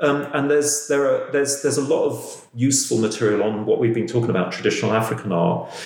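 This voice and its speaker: A man talking at a very fast pace with hardly any pauses, very even loudness, and noticeable background noise. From London. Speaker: podcast host. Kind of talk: interview conversation. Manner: halting.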